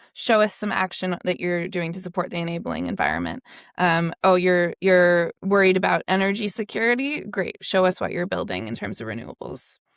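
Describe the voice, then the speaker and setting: A woman's plain, everyday voice, medium in pitch, fairly quick with hardly any pauses and lively intonation, dry and close with no echo on a very clean recording with a silent background. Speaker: climate policy researcher. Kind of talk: interview.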